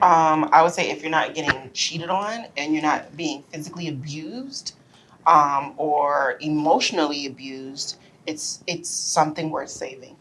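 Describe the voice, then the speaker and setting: The speaker moves at a moderate pace with ordinary pitch variation. Noticeable background noise runs throughout. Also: woman, very deep, low pitch for a woman. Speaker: married guest sharing relationship advice. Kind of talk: casual podcast chat. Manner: loud; animated.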